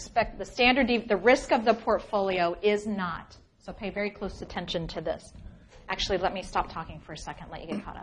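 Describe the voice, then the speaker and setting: At a fairly quick pace, a woman with an ordinary speaking voice talks at a medium pitch with ordinary pitch variation and big swings in loudness. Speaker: finance professor. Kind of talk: lecture.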